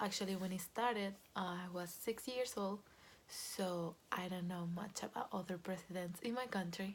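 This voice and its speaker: A woman with a Venezuelan accent speaks at a fairly slow pace in a somewhat breathy voice. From Venezuela, Caracas. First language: Spanish. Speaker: Venezuelan expat sharing her experience. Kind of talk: personal testimony. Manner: hesitant, many fillers.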